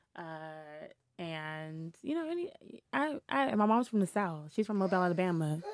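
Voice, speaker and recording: Lively intonation runs through an ordinary speaking voice at a moderate pace. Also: woman, fairly low pitch for a woman. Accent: American. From Washington DC (Shaw neighborhood). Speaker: community activist and youth mentor. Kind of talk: casual interview conversation.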